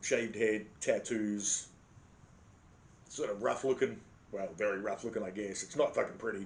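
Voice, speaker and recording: This man speaks with an Australian accent. His pace is moderate. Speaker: vlogger. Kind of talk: casual storytelling monologue. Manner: animated.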